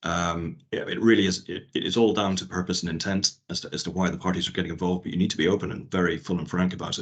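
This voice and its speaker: A man with a Northern Irish accent talks at a very fast pace with hardly any pauses, his very deep, low pitch kept in a monotone, flat intonation. The background is quiet. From Northern Ireland. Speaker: IP lawyer. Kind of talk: workshop talk. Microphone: video call.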